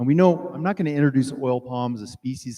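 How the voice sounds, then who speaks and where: Speaking at a fairly quick pace, a man with a strong French accent uses a medium pitch, ordinary pitch variation and a dark, mellow tone. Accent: heavy French. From France. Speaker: plant biology researcher. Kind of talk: lecture.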